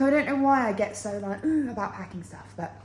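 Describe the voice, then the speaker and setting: A woman with an English accent speaks in an animated tone. Noticeable background noise and audible room echo fill the recording. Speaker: travel vlogger. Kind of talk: casual vlog to camera. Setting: outdoors walking. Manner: chatty, animated.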